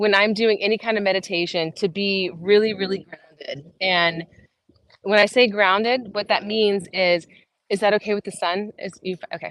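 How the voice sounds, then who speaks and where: This woman has a plain, everyday voice, talking at a moderate pace with fairly even intonation. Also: medium pitch for a woman. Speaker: fitness coach. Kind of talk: guided meditation; fitness class instruction. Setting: outdoors. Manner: casual, filler-heavy.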